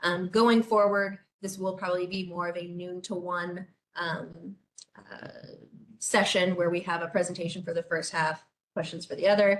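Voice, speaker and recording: A woman speaks at a fairly low pitch with monotone, flat intonation. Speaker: city government official. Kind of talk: webinar presentation. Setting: online webinar. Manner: fast.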